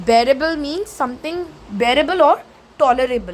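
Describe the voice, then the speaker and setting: A woman with an Indian accent speaks with very wide pitch swings over noticeable background noise. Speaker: teacher. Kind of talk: lecture.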